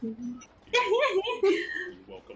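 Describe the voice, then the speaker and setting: A man does a put-on character voice at an extremely high pitch. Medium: actual play. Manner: blunt, terse.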